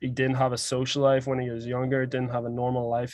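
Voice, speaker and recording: This man speaks with a Northern Irish accent at a medium pitch. His tone is dark and mellow, and his intonation is monotone and flat. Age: 20s. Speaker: podcast host. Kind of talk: casual chat.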